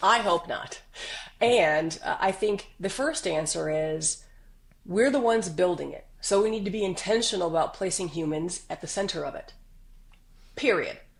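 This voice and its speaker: Speaking at a moderate pace with lively intonation and an animated tone, a woman with a medium pitch talks in an American accent. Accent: slight Southern US, stronger when excited. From US South. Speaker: business executive. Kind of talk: podcast interview.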